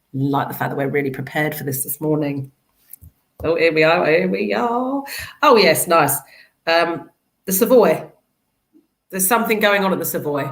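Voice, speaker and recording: At a moderate pace and with lively intonation, a woman with a very deep, low pitch speaks in a South London accent amid audible room echo. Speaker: charity executive. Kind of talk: casual chat.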